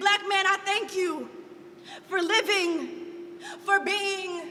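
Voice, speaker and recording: A woman speaks in a raised, projected voice with a passionate tone. Her tone is also bright and sharp. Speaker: spoken word artist. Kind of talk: spoken word poetry performance.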